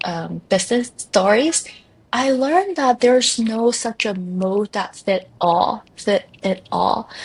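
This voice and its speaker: Somewhat breathy and fairly high-pitched, a woman with a non-native accent speaks at a fairly slow pace with ordinary pitch variation. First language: not English. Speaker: life coach. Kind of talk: podcast interview.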